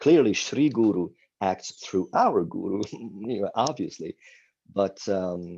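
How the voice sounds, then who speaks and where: A man with an Italian accent, at a very slow pace. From Italy (Milan). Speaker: spiritual teacher. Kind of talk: interview. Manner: animated.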